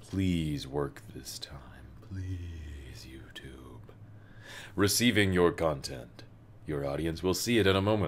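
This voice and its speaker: Using a very deep, low pitch with vocal fry, a man speaks very slowly with lively intonation, big swings in loudness and long, frequent pauses. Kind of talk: casual livestream chat.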